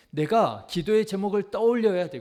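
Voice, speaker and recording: The voice has ordinary pitch variation and a fairly slow pace, captured on a very clean recording with a silent background. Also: man. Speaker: pastor. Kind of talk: sermon. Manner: earnest, exhortative.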